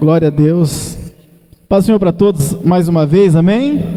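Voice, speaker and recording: A man with a high pitch and ordinary pitch variation, at a fairly slow pace, with audible room echo and noticeable background noise. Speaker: evangelist preacher. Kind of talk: sermon. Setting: church.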